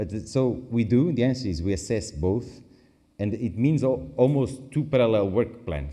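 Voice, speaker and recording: A man with a Portuguese accent speaks at a moderate pace in a dark, mellow tone with vocal fry and lively intonation. Audible room echo surrounds his voice. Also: medium pitch for a man. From Portugal. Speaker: international agency expert. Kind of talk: conference Q&A. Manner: halting, self-correcting.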